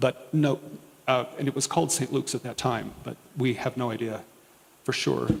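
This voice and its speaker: Soft-spoken man at a medium pitch, ordinary pitch variation, with noticeable background noise. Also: moderate pace. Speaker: diocesan historian and archivist. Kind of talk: talk to parish audience.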